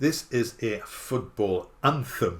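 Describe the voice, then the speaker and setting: A man speaks with a northeast English accent. His voice is medium in pitch and somewhat breathy. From northeast England. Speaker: musician and YouTuber. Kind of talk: casual talk to camera.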